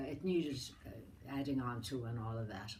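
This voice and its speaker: A woman with an American accent at a moderate pace, with audible room echo. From Ireland, County Mayo. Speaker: elderly relative interviewed about her life. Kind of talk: family oral history interview.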